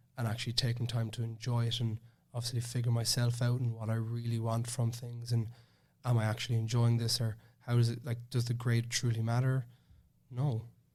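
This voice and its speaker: A man with a Cork accent speaks at a fairly quick pace in a medium pitch, his somewhat breathy delivery flat and monotone. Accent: Cork Irish. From Ireland, Cork. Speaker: master's student. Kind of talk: casual podcast interview. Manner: halting, many false starts.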